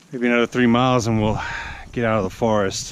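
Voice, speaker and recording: A man speaks at a medium pitch and a moderate pace in a monotone, flat intonation. The room echo is audible, and background noise is noticeable. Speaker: hiking vlogger. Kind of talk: outdoor vlog narration. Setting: outdoors on a mountain trail.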